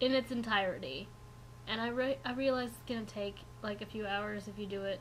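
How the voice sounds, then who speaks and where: A woman's voice with audible room echo. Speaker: knitting vlogger. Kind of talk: casual vlog. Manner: fast; animated.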